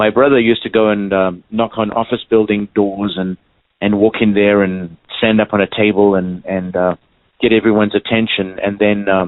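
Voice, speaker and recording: The speaker talks at a moderate pace with a slight South African accent and a monotone, flat intonation. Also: man, fairly low pitch for a man. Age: 60s. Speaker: clown and stilt walker. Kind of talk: interview. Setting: phone call. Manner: halting, many fillers.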